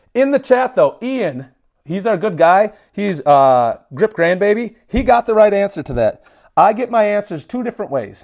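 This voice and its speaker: On a very clean recording with a silent background, a man speaks at a moderate pace in an animated tone, his high pitch making very wide swings. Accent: Minnesotan. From Minnesota. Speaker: livestreamer, grip strength trainer. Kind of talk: casual livestream chat. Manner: high energy.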